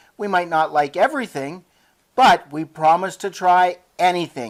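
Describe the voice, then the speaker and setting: Putting on a whiny character voice, a woman talks at a moderate pace with fairly low pitch and lively intonation. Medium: read story.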